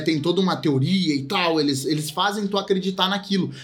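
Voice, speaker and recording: A man speaks in a high pitch. Audible room echo surrounds his voice. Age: 20s. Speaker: film podcast co-host. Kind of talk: casual chat.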